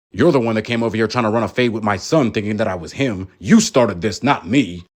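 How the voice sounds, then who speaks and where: Growling, a man performs a cartoonish character voice at a very fast pace. His pitch is medium, with ordinary variation. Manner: haughty, commanding.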